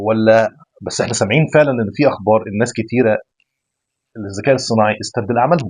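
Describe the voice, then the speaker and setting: A man's medium-pitched voice at a fairly quick pace, broken by long, frequent pauses. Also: ordinary pitch variation. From Egypt. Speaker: podcast host. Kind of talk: casual interview.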